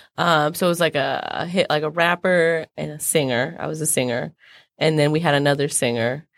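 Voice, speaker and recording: Speaking with an American accent at a fairly quick pace, a woman uses a very deep, low voice with fairly even intonation on a very clean recording with a silent background. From San Diego, California. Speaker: singer. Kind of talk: interview.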